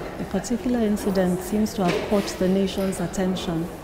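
A woman at a fairly quick pace against loud background noise. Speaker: friend giving testimonial. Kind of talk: testimonial. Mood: warm, admiring.

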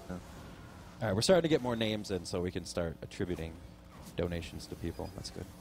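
Amid noticeable background noise, a man with a very deep, low pitch talks at a very fast pace with lively intonation and big swings in loudness, in a dry sound with no echo. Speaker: charity stream co-host. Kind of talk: casual live stream chat. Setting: live event venue with audience. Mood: grateful, casual. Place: home room.

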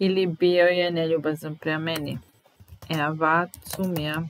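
Against light background noise, with dry sound and no echo, a woman speaks at a very slow pace with fairly even intonation. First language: Serbian (speaking German). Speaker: German language teacher. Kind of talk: language lesson. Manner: slow, repetitive. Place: home room. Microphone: webcam.

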